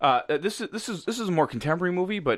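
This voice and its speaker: A man speaks at a very fast pace in an animated tone, with music playing in the background. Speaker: podcast host. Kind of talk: casual chat. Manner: joking, animated.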